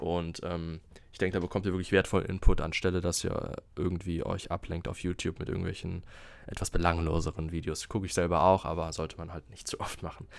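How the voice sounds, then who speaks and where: A man's very deep, low voice, very fast and monotone with flat intonation, with big swings in loudness. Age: 20s. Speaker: podcast host, health management student. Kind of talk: solo podcast monologue. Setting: alone in his room. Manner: halting, many fillers.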